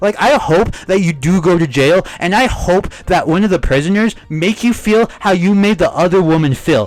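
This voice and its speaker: With music in the background, a man with a high voice shouts loudly at a moderate pace. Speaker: YouTube commentator. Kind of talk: commentary rant. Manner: loud, yelling; animated.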